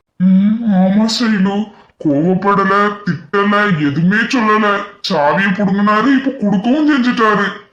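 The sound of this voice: In a cartoonish character voice, a man speaks at a very slow pace in a high pitch, his loudness very even. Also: ordinary pitch variation.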